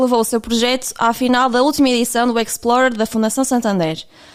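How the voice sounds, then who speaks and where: A woman speaks with a European Portuguese accent. Her voice is high-pitched and her pace is fairly quick. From Portugal. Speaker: podcast host. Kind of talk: podcast interview. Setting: remote call.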